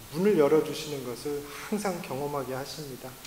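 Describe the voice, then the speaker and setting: Room echo is audible as a man speaks at a moderate pace. His pitch is fairly high, and he has a slight non-native accent. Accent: slightly non-native Korean, self-described. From Latin America (emigrated from Korea at age 9, Mexico). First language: Spanish (speaking Korean). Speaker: missionary. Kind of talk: sermon. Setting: church. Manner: halting, many fillers.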